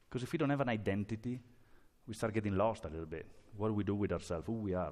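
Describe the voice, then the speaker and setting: With lively intonation, a man speaks at a fairly low pitch. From Italy. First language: Italian. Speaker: pastor. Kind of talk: sermon. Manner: halting.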